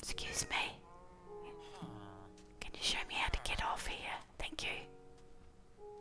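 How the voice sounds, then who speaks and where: The whispering moves at a very slow pace, broken by long, frequent pauses. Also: woman. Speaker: ASMR YouTuber. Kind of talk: ASMR gameplay commentary. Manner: whispered. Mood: playful, amused, slightly unsure. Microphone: studio mic.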